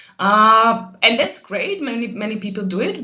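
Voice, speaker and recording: Room echo and clear background noise surround the female voice, whose intonation barely shifts. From central Slovakia. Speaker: translation lecturer and researcher. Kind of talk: casual interview.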